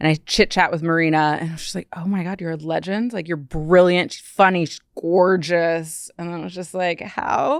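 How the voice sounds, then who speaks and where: A woman's ordinary speaking voice with an American accent, fairly low in pitch, at a moderate pace with hardly any pauses, fairly even intonation and big swings in loudness, on a very clean recording with a silent background. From Ohio, US Midwest. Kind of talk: casual podcast conversation. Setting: studio.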